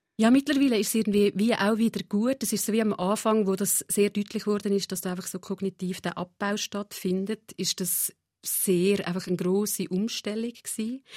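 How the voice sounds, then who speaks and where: In a plain, everyday voice, a woman speaks at a moderate pace and medium pitch, with fairly even intonation and hardly any pauses. The recording is very clean with a silent background, and the sound is dry and close with no echo. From Central Switzerland, Nidwalden. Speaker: psychotherapist. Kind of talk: interview. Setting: radio studio.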